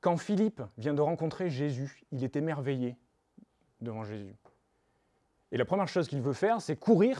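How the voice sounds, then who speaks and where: With a Toulouse accent, a man with a fairly high pitch and a dark, mellow tone speaks with lively intonation and long, frequent pauses in a very clean recording with a silent background. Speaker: preacher. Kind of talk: sermon.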